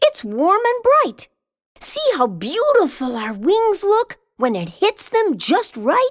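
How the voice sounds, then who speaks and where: A woman puts on a character voice at an extremely high pitch, in a sing-song lilt. The sound is dry and close with no echo, and her pace is fairly slow. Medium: read story.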